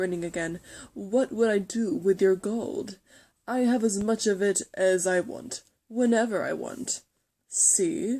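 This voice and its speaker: A put-on character voice moves at a fairly slow pace. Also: woman, medium pitch for a woman. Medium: read story. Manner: smooth, sly, self-assured.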